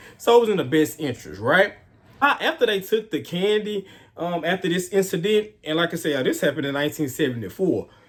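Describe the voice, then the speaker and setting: A man with a Houston accent, high-pitched, animated in tone, with lively intonation and a fairly quick pace. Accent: Southern US (Houston). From US South, Houston, Texas. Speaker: true crime YouTuber. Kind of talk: casual storytelling.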